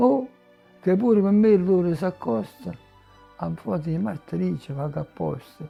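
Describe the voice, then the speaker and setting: Fairly slow speech in a Neapolitan accent, with very wide pitch swings, long and frequent pauses, and music in the background. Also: man, fairly high pitch for a man. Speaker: poet reading own work. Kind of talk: poetry reading.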